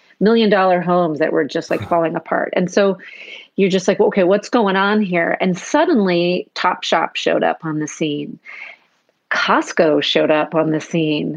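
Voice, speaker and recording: A woman speaks at a moderate pace in an American accent. Her pitch is fairly low, with ordinary variation. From US Pacific Northwest, Seattle. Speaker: brand strategist. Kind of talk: interview. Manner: animated.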